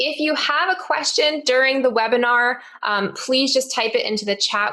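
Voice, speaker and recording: Someone with an American accent speaks at a moderate pace and with ordinary pitch variation. Noticeable background noise runs underneath. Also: woman. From US Northeast, Connecticut. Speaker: teacher and podcast host. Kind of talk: webinar presentation. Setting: online webinar.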